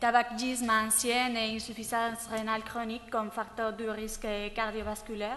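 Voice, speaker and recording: Speaking at a moderate pace with a non-native accent, a woman uses a fairly high pitch, a bright, sharp tone and monotone, flat intonation. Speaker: cardiology fellow. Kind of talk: clinical case presentation. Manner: halting, many hesitations.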